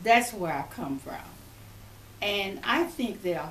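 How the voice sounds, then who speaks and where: A woman's lively intonation amid audible room echo and noticeable background noise. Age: 90s. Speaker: retired education professor. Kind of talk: interview.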